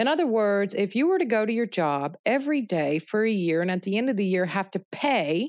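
Her tone animated, a woman speaks at a moderate pace with very wide pitch swings. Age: 30s. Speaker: farmer and meat company founder. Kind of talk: interview. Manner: halting.

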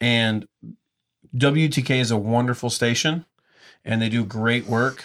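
The intonation is fairly even and the loudness very even, at a fairly slow pace. Long, frequent pauses break up the speech, and the recording is very clean with a silent background. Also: man, medium pitch for a man. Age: 30s. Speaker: brewery tour business owner and radio host. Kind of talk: casual chat.

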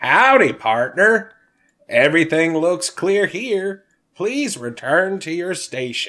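A put-on character voice at middle pitch and a fairly slow pace. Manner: friendly, casual.

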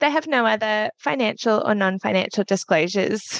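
Dry and close with no echo, a woman's fairly high voice with an Australian accent moves at a fairly quick pace with lively intonation. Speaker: podcast host and speech pathologist. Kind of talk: interview conversation.

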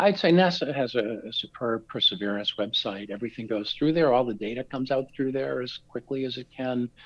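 The man has a normal speaking voice at a medium pitch. He talks at a fairly quick pace with hardly any pauses. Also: ordinary pitch variation. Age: 60s. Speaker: research scientist. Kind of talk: interview.

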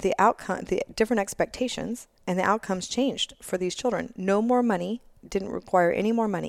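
A woman with a plain, everyday voice speaks at medium pitch and a moderate pace, with ordinary pitch variation, in a dry, close recording with no echo. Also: very clean recording, silent background. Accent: American. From Texas, Austin. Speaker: education policy advocate. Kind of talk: interview.

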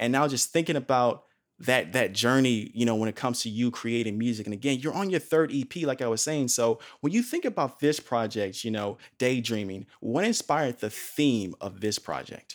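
A man's animated, medium-pitched voice at a moderate pace, on a very clean recording with a silent background. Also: ordinary pitch variation. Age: 30s. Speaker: podcast host. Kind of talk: interview.

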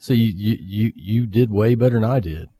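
A somewhat breathy man's voice, fairly low in pitch, at a very slow pace. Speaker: radio show co-host.

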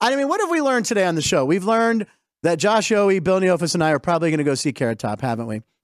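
Very fast and animated, a man speaks at a high pitch with a dry, close sound and no echo. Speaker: comedian and sports show host. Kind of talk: casual sports talk show banter. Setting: live studio in a casino sportsbook. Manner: animated, jokey.

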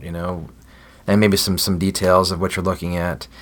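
With a very deep, low pitch and fairly even intonation, a man speaks at a fairly quick pace. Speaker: food packing ministry director. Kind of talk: casual interview.

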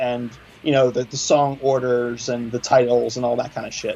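The speaker has an American accent, and there is noticeable background noise. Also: man. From Philadelphia. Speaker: metal musician. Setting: phone call.

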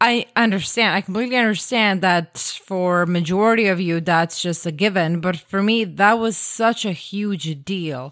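A woman in a Croatian accent talks at a moderate pace and medium pitch, with ordinary pitch variation and hardly any pauses. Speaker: podcast guest, host's wife. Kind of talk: casual chat. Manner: animated.

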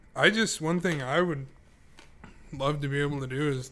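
At a moderate pace, a man with an American accent speaks in a medium pitch. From Idaho, US. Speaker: podcast co-host. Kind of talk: casual chat.

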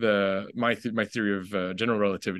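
Against a quiet background, a man talks with fairly even intonation. He has a plain, everyday voice. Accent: Canadian. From Canada, Ottawa (raised there from age five). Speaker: documentary filmmaker. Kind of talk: casual interview.

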